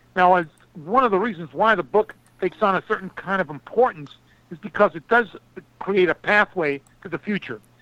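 A man projects a raised, high-pitched voice with a bright, sharp tone and ordinary pitch variation. He talks fairly quickly but leaves long, frequent pauses. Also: dry, close sound with no echo. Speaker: foreign policy analyst and author. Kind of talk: radio interview. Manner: formal.

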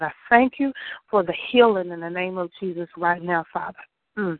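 A woman with a plain, everyday voice speaks at a fairly low pitch. Her pitch varies in an ordinary way. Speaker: prayer participant. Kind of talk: fervent prayer.

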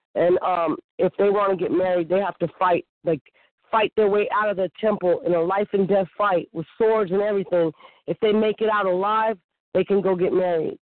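A woman with an American accent and a normal speaking voice, medium in pitch, at a moderate pace with fairly even intonation and very even loudness. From US West Coast, Bay Area (Oakland). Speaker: targeted-individual interviewee, former Navy. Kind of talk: casual interview.

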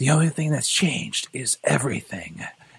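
In a breathy, put-on character voice, a man delivers a dramatic tone at a fairly high pitch and a moderate pace. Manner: dramatic, like a product ad.

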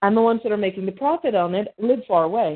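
A woman with an American accent, at a fairly quick pace, with ordinary pitch variation. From Birmingham, Alabama. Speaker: cartoonist and comic creator. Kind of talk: casual interview. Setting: remote call.

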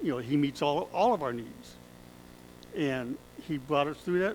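Pitched fairly high, a man uses an ordinary speaking voice, his pitch varying in an ordinary way. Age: 60s. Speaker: pastor. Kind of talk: sermon. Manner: conversational, with laughter.

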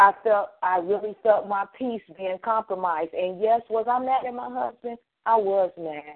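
A woman speaks in a normal speaking voice at a medium pitch and moderate pace. Her intonation is lively, and her loudness swings widely. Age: 50s. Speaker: financial consultant. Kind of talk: radio interview.

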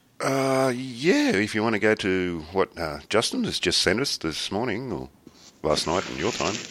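On a very clean recording with a silent background, a man speaks with an Australian accent and lively intonation. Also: fairly low pitch for a man, moderate pace. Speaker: podcast host. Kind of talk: casual chat.

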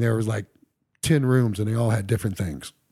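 A man with an American accent, a dark, mellow tone, a somewhat breathy quality and a medium pitch, in a very clean recording with a silent background. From Ohio, Dayton area. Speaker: rock drummer. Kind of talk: casual interview. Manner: animated.

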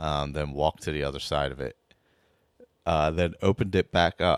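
In a raspy, put-on character voice with a very deep, low pitch, a man speaks at a moderate pace with fairly even intonation, in a dry, close sound with no echo.

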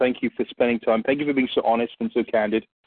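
Very fast speech with fairly even intonation, in an English accent. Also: man. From England. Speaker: podcast host. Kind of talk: casual podcast chat.

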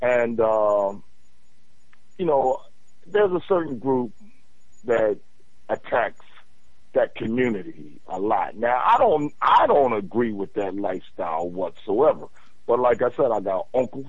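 A man speaks at a medium pitch and a fairly slow pace. His pitch swings very widely, and he leaves long, frequent pauses. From Philadelphia. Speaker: caller. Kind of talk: casual call-in conversation. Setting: phone call.

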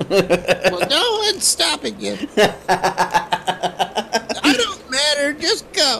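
A put-on character voice at a fairly high pitch moves at a very slow pace against clear background noise. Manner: guilt-tripping, passive-aggressive.

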